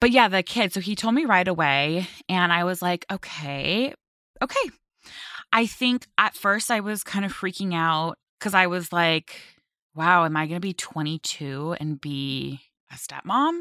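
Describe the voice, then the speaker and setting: A woman with a Californian accent speaks at a fairly slow pace in a fairly low voice, with a bubbly, bright, sharp tone and lively intonation. The sound is dry and close with no echo, on a very clean recording with a silent background. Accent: Californian American. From Los Angeles (Westlake Village). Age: 20s. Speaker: model. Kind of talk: interview.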